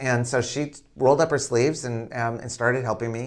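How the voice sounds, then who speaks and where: This man's voice has a medium pitch. The background is silent and the recording very clean. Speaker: public relations entrepreneur. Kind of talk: interview. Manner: loud.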